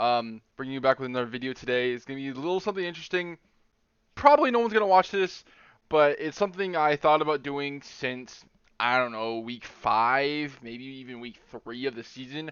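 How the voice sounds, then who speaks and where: This man has an unremarkable speaking voice, fairly high in pitch, with ordinary pitch variation, big swings in loudness, and a fairly quick pace. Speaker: competitive game drafting league player. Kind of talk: casual podcast-style commentary.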